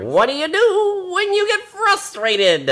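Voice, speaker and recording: A man puts on a character voice pitched extremely high, talking at a moderate pace. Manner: playful.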